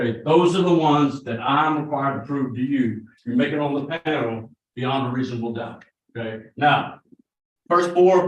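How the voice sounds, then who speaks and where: A man talks with a normal speaking voice at a moderate pace. His pitch is fairly high, with ordinary variation. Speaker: prosecutor. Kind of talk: jury selection questioning. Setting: courtroom. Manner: conversational.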